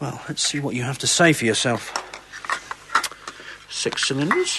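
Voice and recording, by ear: A man puts on a character voice with big pitch swings and a bright, sharp tone at a medium pitch. He speaks at a fairly slow pace over faint background noise.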